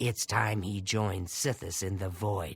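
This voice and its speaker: Someone performs a put-on character voice at a fairly slow pace. Music plays in the background. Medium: video game. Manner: measured, formal, menacing.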